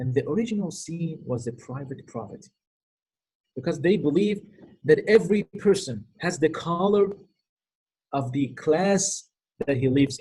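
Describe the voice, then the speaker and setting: This man's fairly high voice has a dark, mellow tone, a somewhat breathy quality and lively intonation. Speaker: Islamic lecturer, cleric. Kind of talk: lecture. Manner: fast.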